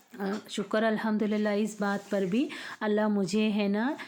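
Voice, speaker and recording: Her voice, a woman's, sits at a fairly high pitch. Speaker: home vlogger, mother. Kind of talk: casual vlog talk. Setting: at home, early morning. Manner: conversational, hesitant fillers.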